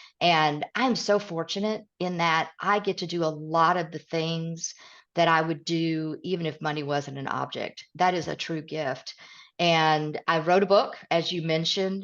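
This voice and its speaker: Fairly slow, fairly even speech from a woman with a Southern US accent against a quiet background. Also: fairly low pitch for a woman. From East Tennessee, Midwest roots. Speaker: author and leadership coach. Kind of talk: podcast interview.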